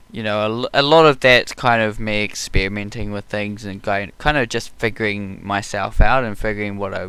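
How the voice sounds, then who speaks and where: In a very clean recording with a silent background, a man with a slight New Zealand accent speaks at a moderate pace with hardly any pauses, his fairly low pitch, bright, sharp tone and fairly even intonation all clear. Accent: New Zealand, mild, some hear American. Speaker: YouTube art channel host. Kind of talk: casual chat. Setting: live stream while painting.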